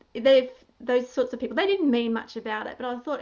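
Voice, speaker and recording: The woman's voice sits high in pitch. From country Australia. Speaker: interviewer, blogger. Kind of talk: interview.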